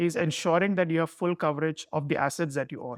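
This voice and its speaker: A man with a Keralan accent, high pitch and ordinary pitch variation, in a dry, close sound with no echo against a quiet background. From India, Mumbai. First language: Malayalam. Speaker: security executive. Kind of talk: interview.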